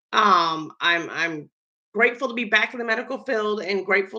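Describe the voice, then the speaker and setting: A woman at medium pitch with a Southern US accent. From US South (Georgia and Florida). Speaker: baker and medical worker. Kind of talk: casual vlog talk. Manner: casual with fillers.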